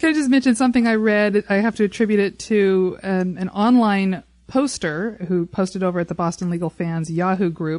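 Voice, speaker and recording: A woman talks in an ordinary speaking voice at a medium pitch and a fairly quick pace. The background is quiet. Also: ordinary pitch variation. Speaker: podcast host. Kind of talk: casual chat. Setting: studio.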